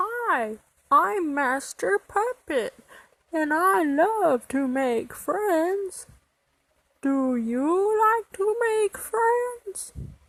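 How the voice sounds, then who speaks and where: An extremely high, put-on character voice swings very widely in pitch. It moves at a very slow pace. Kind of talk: children's advice monologue to camera.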